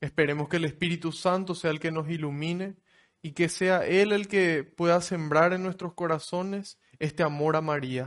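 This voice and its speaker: Against a quiet background, a man with a high voice speaks at a moderate pace with fairly even intonation. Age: 20s. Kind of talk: religious talk.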